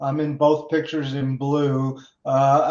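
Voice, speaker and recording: With noticeable background noise behind him, a man speaks at a fairly high pitch in monotone, flat intonation. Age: 60s. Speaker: company co-founder hosting a webinar. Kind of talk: webinar introduction. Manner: halting, frequent fillers.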